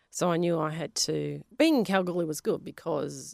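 A woman with an Australian accent speaks at a moderate pace on a very clean recording with a silent background. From Western Australia, Polish family. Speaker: geoscientist and science teacher. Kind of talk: interview.

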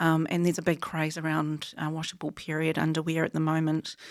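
The voice carries a New Zealand accent. Its pace is fairly quick. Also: woman. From New Zealand, rural Taranaki. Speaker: wool technology company founder and CEO. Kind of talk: interview.

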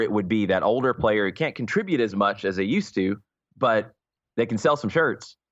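A man with an American accent, fairly low-pitched, against a quiet background. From US South, Atlanta, Georgia. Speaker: soccer radio color commentator. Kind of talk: casual interview chat.

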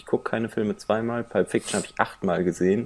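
A man talks at a very fast pace in a medium pitch. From Cologne area, Germany. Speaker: podcast co-host. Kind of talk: casual chat.

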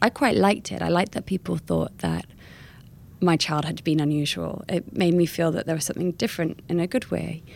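A woman with an American accent speaks at a very deep, low pitch with vocal fry on a very clean recording with a silent background. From California; lived in Bath, West Country England, then London. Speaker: memoir author and travel writer. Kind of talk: casual interview chat.

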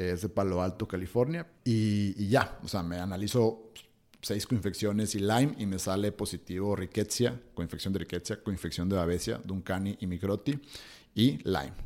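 On a very clean recording with a silent background, a man with a fairly low pitch speaks at a moderate pace with ordinary pitch variation. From Hermosillo, Sonora, northern Mexico. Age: 30s. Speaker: breathing and cold exposure workshop instructor. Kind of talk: interview conversation. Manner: hesitant, many fillers.

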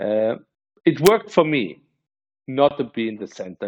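Lively in intonation and moderate in pace, this man talks in a normal speaking voice. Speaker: venture capitalist. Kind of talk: interview.

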